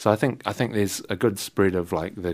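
A man speaks with a New Zealand accent. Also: very clean recording, silent background. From New Zealand, Wellington. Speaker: jazz saxophonist and composer. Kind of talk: casual interview. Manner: halting.

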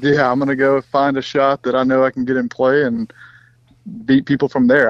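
Speaking with an American accent, a man keeps a medium pitch in a monotone, flat intonation. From US South, Mississippi. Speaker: professional golfer. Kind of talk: casual chat.

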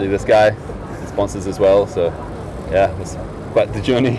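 Against noticeable background noise, a man with a New Zealand accent speaks very fast. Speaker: ski film maker. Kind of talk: casual interview.

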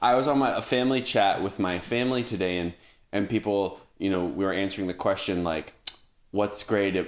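A man with a normal speaking voice talks at a fairly quick pace in a fairly low pitch, with ordinary pitch variation. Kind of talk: casual chat. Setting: video call.

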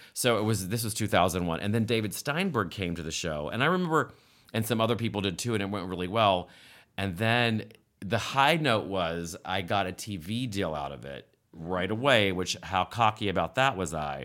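A man with a normal speaking voice and a fairly low pitch talks at a moderate pace with lively intonation on a very clean recording with a silent background. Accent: American. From West Virginia. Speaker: comedic actor. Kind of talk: casual chat.

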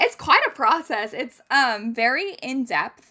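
Bright and sharp, a woman's voice comes across with an animated tone. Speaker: university student and resident advisor. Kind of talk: casual interview. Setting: remote recording.

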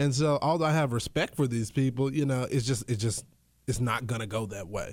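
Speaking with an American accent in a plain, everyday voice, the talker moves at a fairly quick pace with lively intonation. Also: man. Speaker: radio host and political commentator. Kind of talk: casual chat.

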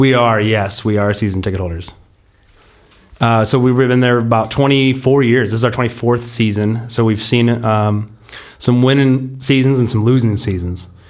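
Audible room echo surrounds a man speaking at a moderate pace in a medium pitch with fairly even intonation. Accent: American. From US West Coast, San Diego. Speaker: football fan, season ticket holder. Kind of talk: casual chat.

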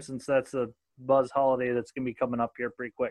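Very fast speech comes from a man in an American accent. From southern Minnesota. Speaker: podcast host. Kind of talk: casual interview chat. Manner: casual, joking.

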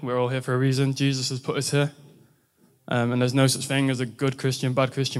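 A man with an English accent talks at a fairly quick pace in a monotone, flat intonation. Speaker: university student. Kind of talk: testimony. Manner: halting.

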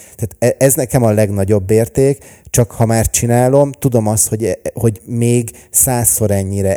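The man's tone is dark and mellow, his intonation fairly even and his pace moderate, in a very clean recording with a silent background and a dry, close sound with no echo. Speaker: entrepreneur and vlogger. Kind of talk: casual interview chat. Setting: studio.

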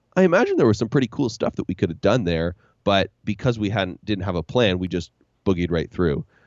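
With a Canadian accent, a man uses a normal speaking voice, fairly low in pitch, moving at a fairly quick pace with ordinary pitch variation. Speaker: podcast host and leadership trainer. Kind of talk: casual interview chat.

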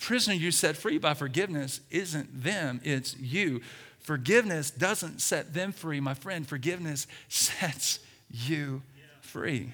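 A bright, sharp, animated tone with an American accent and ordinary pitch variation. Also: man, fairly high pitch for a man, fairly slow pace. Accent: Southern US, fading. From US South, Alabama. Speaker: pastor. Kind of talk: sermon. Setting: church. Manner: loud.

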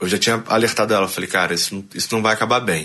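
Over a quiet background, a man speaks at a fairly low pitch with ordinary pitch variation. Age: 30s. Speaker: barber and rock musician. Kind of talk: interview. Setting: studio. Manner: animated.

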